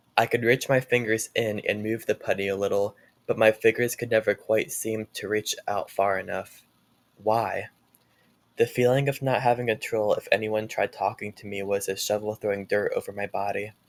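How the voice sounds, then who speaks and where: Delivered at a moderate pace, the voice sounds dry and close, with no echo. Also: man. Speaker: author reading own book. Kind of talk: reading aloud.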